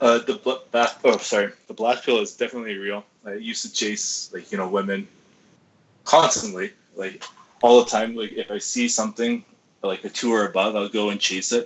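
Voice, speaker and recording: A man speaks with a Canadian accent. His pace is fairly quick. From Canada. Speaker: guest on dating talk show. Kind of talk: casual chat.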